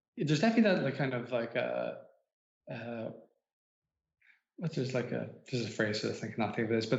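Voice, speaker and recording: A man with an Irish accent and a medium pitch sounds somewhat breathy, with audible room echo around him. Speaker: author. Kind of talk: casual chat. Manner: halting.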